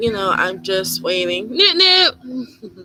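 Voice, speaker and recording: The voice is soft-spoken and moves at a very slow pace. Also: woman. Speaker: witchcraft YouTuber. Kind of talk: live stream chat. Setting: YouTube live stream. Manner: rambling, casual.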